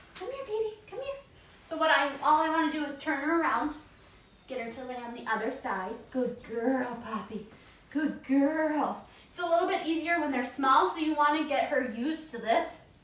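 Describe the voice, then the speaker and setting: A woman speaks in a high, soothing voice with lively intonation. Audible room echo and noticeable background noise surround her. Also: moderate pace, big swings in loudness. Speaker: dog trainer. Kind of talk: tutorial.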